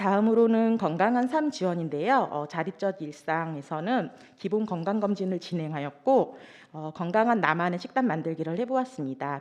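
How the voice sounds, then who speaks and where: A woman speaks at a moderate pace in a fairly low pitch, her voice shaky. Her intonation is lively. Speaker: social welfare worker presenting program results. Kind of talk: conference presentation. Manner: trembling voice; hesitant with fillers.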